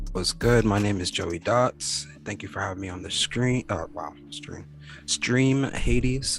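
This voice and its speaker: With music in the background, a speaker with an American accent goes at a fairly slow pace, with lively intonation and big swings in loudness. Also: man, fairly low pitch for a man. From Connecticut, US (Danbury). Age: 30s. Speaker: music producer. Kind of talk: casual interview. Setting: video call.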